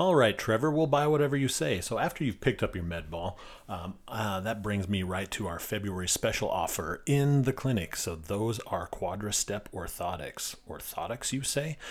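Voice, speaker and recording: Lively in intonation, a man talks at a moderate pace with hardly any pauses. He has a plain, everyday voice in a very clean recording with a silent background. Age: 40s. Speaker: physical therapist and podcast host. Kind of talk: casual solo podcast monologue. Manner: casual, filler-heavy.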